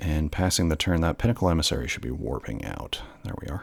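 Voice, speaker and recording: A man speaks at a moderate pace in a very deep, low pitch with vocal fry. The recording is very clean, with a silent background. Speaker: gameplay commentator. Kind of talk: live commentary.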